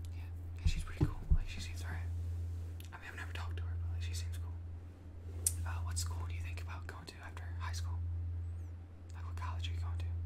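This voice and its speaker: A soft-spoken man talks at a very fast pace. Loud background noise runs behind him. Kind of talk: scripted role-play, talks as if to a classmate. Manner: soft, close ASMR-style speaking. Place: home room.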